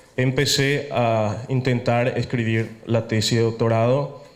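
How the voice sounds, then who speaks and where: Audible room echo surrounds a man with a Paraguayan accent who speaks very slowly at a medium pitch with fairly even intonation. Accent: Paraguayan Spanish lilt. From Italy, Venice. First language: Italian (speaking Spanish). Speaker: architect, lecturer. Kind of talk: lecture. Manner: hesitant, with fillers.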